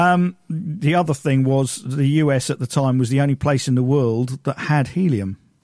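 Over a silent background in a very clean recording, a man with a British accent talks at a moderate pace with ordinary pitch variation and very even loudness, the sound dry and close with no echo. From Britain. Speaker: amateur history researcher. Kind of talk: casual chat. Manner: halting.

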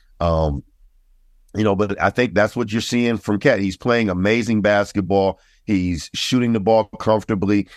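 An ordinary speaking voice from a man, fairly low in pitch with fairly even intonation and a moderate pace, dry and close with no echo against a quiet background. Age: 50s. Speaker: podcast host, basketball commentator. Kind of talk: casual chat. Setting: video call.

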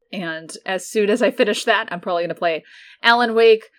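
Plain reading aloud is heard here, with ordinary pitch variation.

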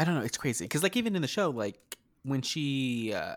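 In an American accent, a man with an ordinary speaking voice and a medium pitch speaks at a fairly quick pace. His intonation is lively, and the recording is very clean with a silent background. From rural New Mexico near Texas border. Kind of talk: casual chat.

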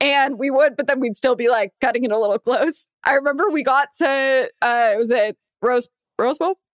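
A woman's high-pitched voice with an American accent, ordinary pitch variation, moderate pace, very even loudness and a dry, close sound with no echo. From Los Angeles area, US. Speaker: podcast co-host. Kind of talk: casual chat.

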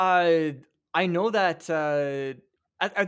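A man with a Canadian Prairies accent speaks at a fairly high pitch for a man, with ordinary pitch variation. The recording is very clean, with a silent background. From Regina, Saskatchewan, Canada. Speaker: social media content creator. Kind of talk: casual interview chat.

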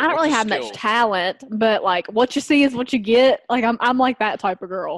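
With a strong Southern US accent, a woman talks at a moderate pace with hardly any pauses. Her pitch is fairly high with ordinary variation, and the sound is dry and close with no echo. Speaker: podcast guest co-host. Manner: giggly, casual, lots of filler words.

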